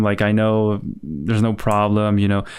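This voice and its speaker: A man with a fairly low voice mumbles. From Spain. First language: Spanish. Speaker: digital artist streaming. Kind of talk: casual livestream chat while painting. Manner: halting, searching for words; relaxed, mumbling.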